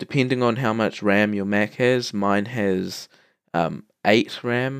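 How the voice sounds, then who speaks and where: A man talks at a very slow pace in a New Zealand accent. His intonation stays fairly even. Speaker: tutorial maker. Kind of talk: tutorial. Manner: hesitant, many fillers.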